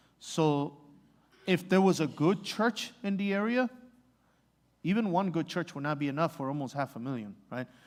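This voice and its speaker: A man with a Spanish accent and a high pitch speaks at a moderate pace, with lively intonation and long, frequent pauses. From Mexico. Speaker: missionary. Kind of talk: church Q&A talk. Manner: halting, many fillers.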